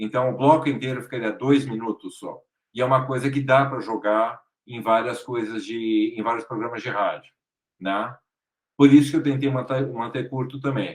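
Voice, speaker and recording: Keeping a moderate pace and fairly even intonation, a man with a São Paulo accent shows big swings in loudness. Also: medium pitch for a man. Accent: Brazilian Portuguese, São Paulo. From Brazil, São Paulo. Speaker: actor and podcaster. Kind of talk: interview.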